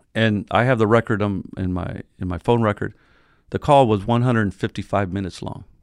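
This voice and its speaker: A man with an ordinary speaking voice talks at a fairly low pitch with fairly even intonation, recorded with a dry, close sound with no echo and a quiet background. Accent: American. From San Diego area, California. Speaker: newspaper publisher. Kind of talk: interview.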